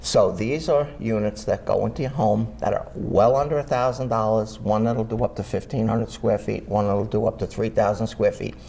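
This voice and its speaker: The voice runs on with hardly any pauses over noticeable background noise. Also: man, moderate pace. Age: 60s. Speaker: air quality testing business owner, Vietnam veteran. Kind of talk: interview. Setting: studio.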